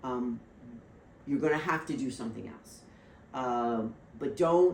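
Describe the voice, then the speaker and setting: Very deep, low pitch from a woman, with ordinary pitch variation, a fairly slow pace and audible room echo. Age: 60s. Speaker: financial services professional. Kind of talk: casual chat. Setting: podcast interview.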